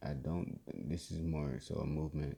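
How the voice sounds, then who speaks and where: A man's very deep, low voice has a dark, mellow tone, vocal fry, and ordinary pitch variation. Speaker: podcast host. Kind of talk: casual tutorial. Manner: hesitant, many fillers.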